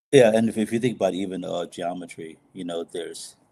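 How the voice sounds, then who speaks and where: A man with an American accent, fairly low pitch, fairly even intonation and a dark, mellow tone. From Texas, Houston. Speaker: actor and director. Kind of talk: interview conversation. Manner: halting, many fillers.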